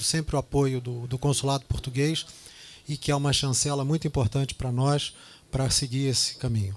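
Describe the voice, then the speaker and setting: A man's fairly high pitch comes with fairly even intonation as he talks at a moderate pace. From Brazil, Rio de Janeiro. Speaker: real estate executive. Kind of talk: business presentation. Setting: business lunch event with audience.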